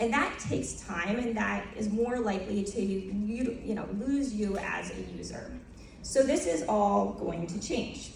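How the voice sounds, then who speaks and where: In an American accent, a woman speaks fairly slowly at a medium pitch with ordinary pitch variation, with noticeable background noise and audible room echo. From United States. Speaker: tech company co-founder. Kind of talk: conference presentation.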